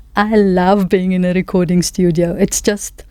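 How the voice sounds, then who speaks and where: The speech is fairly slow and monotone, with flat intonation and noticeable background noise. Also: woman. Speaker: singer-songwriter. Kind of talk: interview.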